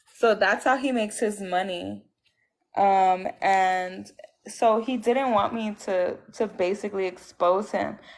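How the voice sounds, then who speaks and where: Against a quiet background, a woman with a Puerto Rican accent speaks very slowly at a medium pitch with fairly even intonation. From Puerto Rico (Aguadilla). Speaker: abuse survivor, ex-girlfriend. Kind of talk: testimony. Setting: livestream call.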